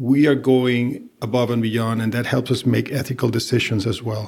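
On a very clean recording with a silent background, a man with a Spanish accent speaks at a medium pitch in a monotone, flat intonation. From Venezuela. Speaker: compliance executive. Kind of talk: interview.

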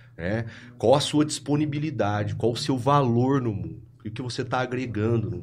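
Somewhat breathy male voice at a medium pitch, fairly quick pace and ordinary pitch variation, with audible room echo. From Brazil, Ribeirão Preto (São Paulo state). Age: 30s. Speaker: clinical psychologist. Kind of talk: casual chat.

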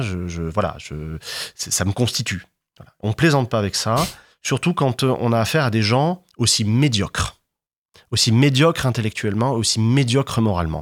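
A man speaks in a normal speaking voice at medium pitch and a moderate pace, with lively intonation. The recording is very clean, with a silent background. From southern France, Martigues (Bouches-du-Rhône). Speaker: historian. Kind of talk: interview.

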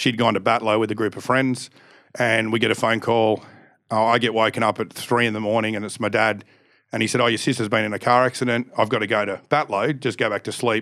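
At a fairly quick pace, a man speaks in a medium-pitched voice with monotone, flat intonation. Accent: Australian. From Australia, Canberra. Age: 40s. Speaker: stunt show performer. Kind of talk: casual interview chat.

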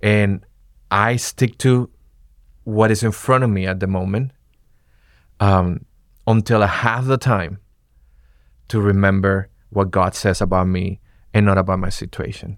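Against a silent background in a very clean recording, a man with a Spanish accent speaks at a moderate pace, his fairly low voice keeping a fairly even intonation. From Venezuela. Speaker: campus pastor. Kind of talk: casual chat.

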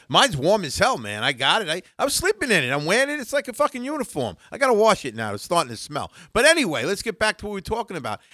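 In a very clean, dry, close recording with no echo and a silent background, a man's high-pitched, raised, projected voice with a bright, sharp tone races along very fast with very wide pitch swings and hardly any pauses. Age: 60s. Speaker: wrestling podcast co-host. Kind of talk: casual chat. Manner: slurring words.

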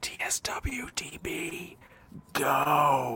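A put-on character voice, raspy and set at a low-to-middle pitch, does the talking. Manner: super creepy.

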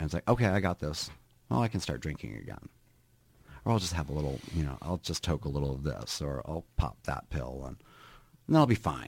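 A man with an American accent talks at a fairly quick pace, his very deep, low voice carrying vocal fry and lively intonation. He leaves long, frequent pauses, and the recording is very clean with a silent background. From Minnesota. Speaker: hairdresser and real estate agent in recovery. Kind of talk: interview about personal recovery. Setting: studio.

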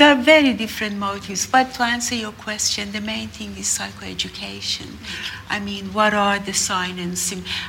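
In an Iranian accent, a woman speaks at a moderate pace with big swings in loudness, amid audible room echo and noticeable background noise. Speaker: mental health clinician. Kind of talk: panel discussion. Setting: stage with live audience.

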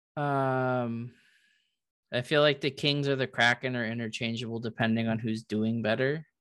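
Against a quiet background, a plain, everyday voice speaks at a moderate pace with fairly even intonation. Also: man, medium pitch for a man. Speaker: podcast host. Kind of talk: casual chat.

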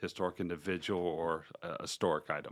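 A man with an American accent on a very clean recording, silent in the background. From Charlotte area, North Carolina. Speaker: brewery owner and founder. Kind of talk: casual interview.

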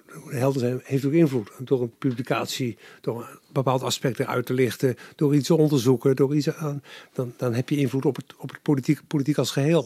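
A man's medium-pitched, dark, mellow voice at a fairly quick pace, with fairly even intonation and a dry, close sound with no echo. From Netherlands, Capelle aan de IJssel (South Holland). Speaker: former journalist, politician and public affairs adviser. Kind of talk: interview. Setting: his study at home.

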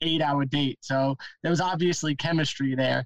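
This man speaks in a New York accent at a fairly quick pace. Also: dry, close sound with no echo. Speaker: van life podcaster. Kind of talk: casual chat.

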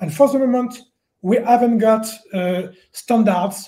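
This man's voice is dark and mellow yet high-pitched. He speaks at a fairly slow pace with lively intonation. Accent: French. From France. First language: French. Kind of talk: panel discussion. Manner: halting.

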